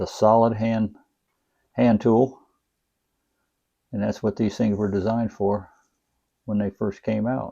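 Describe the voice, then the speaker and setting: Over a quiet background, a man speaks at a fairly slow pace in a fairly low pitch, his dark, mellow tone held in a monotone, flat intonation. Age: 70s. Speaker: knife collector YouTuber. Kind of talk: casual product review. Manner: casual, with frequent fillers.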